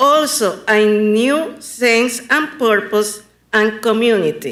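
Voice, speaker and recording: A woman speaks at a fairly high pitch with ordinary variation and a bright, sharp tone, with audible room echo. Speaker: local artist, public commenter. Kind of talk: public comment at council meeting. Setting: county commission meeting.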